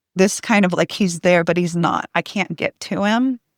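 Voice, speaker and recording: A woman speaks at a moderate pace in a medium pitch, her intonation fairly even and the sound dry and close with no echo. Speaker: hypnosis practitioner and intuitive coach. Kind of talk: podcast interview. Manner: shaky voice when sharing.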